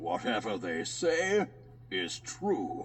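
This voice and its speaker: A man puts on a character voice while clear background noise carries on. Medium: read story. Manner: boastful, proud.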